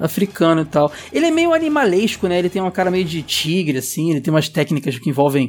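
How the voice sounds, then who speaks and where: Speaking at a very fast pace with hardly any pauses, a man with a high pitch uses ordinary pitch variation. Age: 30s. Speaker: podcast host. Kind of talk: casual chat.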